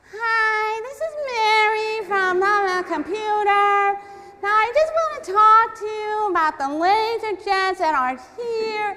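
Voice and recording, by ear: A woman uses a whiny, put-on character voice at an extremely high pitch. She speaks at a fairly slow pace with lively intonation.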